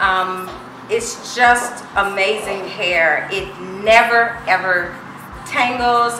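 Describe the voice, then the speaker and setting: Over music in the background, a woman speaks at a very slow pace. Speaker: customer giving a review. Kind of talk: testimonial.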